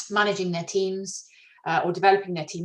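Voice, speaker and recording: Somewhat breathy, a woman speaks. Her pace is fairly quick. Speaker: HR consultant running a webinar. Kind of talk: webinar presentation. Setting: video webinar. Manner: fast; hesitant with many fillers.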